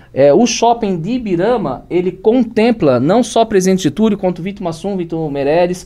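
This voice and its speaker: A man's dark, mellow voice, high in pitch, at a moderate pace with lively intonation. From Blumenau, Santa Catarina, southern Brazil. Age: 40s. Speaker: entrepreneur, construction business owner. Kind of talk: podcast interview.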